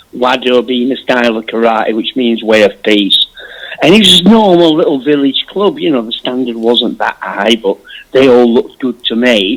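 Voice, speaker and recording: Here a man speaks with a Yorkshire accent. His pitch varies in an ordinary way. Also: medium pitch for a man, moderate pace. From Yorkshire, northern England. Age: 50s. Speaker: martial artist and magazine founder. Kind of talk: interview.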